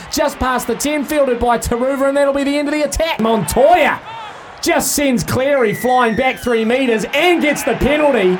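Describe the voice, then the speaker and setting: A man speaks with a New Zealand accent at an extremely high pitch and a fairly quick pace. His pitch varies in an ordinary way, and noticeable background noise is present. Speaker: rugby league commentator. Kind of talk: live sports commentary. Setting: live at stadium, broadcast on radio. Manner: fast, fluent play-by-play delivery, rising with big runs and breaks.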